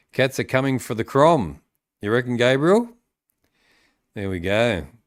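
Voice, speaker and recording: In a very clean recording with a silent background, a man talks with a Sydney accent. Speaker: AFL podcast host. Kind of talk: live-stream sports chat with viewers. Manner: hesitant, many fillers.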